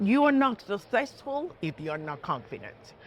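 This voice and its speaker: A woman with a strong Puerto Rican accent. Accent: heavy Puerto Rican Spanish. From Puerto Rico (south, near Ponce). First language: Spanish. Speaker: judge. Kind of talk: interview. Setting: stock exchange floor studio. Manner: animated.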